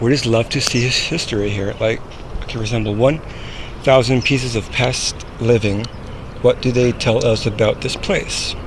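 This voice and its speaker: A man speaks at a moderate pace with a medium pitch and ordinary pitch variation over noticeable background noise. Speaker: vlogger. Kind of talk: casual vlog, reading signs aloud. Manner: halting, stumbling over words.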